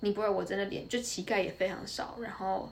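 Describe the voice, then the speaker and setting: A woman with a Taiwanese accent speaks at a fairly quick pace, her medium pitch kept in fairly even intonation. Noticeable background noise and audible room echo are present. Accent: Taiwanese Mandarin. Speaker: university student, former corporate employee. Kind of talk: casual interview chat.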